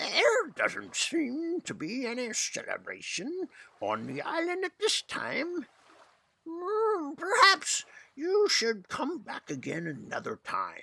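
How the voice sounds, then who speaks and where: In a put-on character voice, the speaker uses an extremely high pitch and a fairly slow pace. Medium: read story. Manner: grave, measured.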